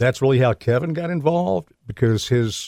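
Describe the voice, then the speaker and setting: An ordinary speaking voice from a man, medium in pitch with ordinary variation, at a moderate pace, in a very clean recording with a silent background and a dry, close sound with no echo. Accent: American. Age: 60s. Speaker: former radio sports broadcaster. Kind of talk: interview. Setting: studio.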